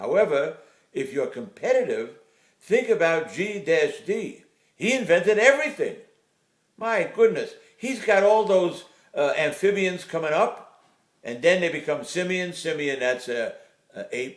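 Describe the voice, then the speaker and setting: A man speaks at a fairly slow pace in a high pitch. His pitch swings very widely, with long, frequent pauses. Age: 80s+. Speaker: retired urologist. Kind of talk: casual opinion talk to camera.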